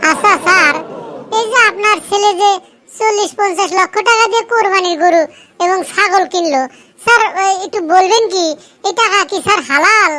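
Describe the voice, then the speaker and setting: In a cartoonish character voice, the speaker talks at a moderate pace in an extremely high pitch. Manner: deferential, calls the boss sir constantly.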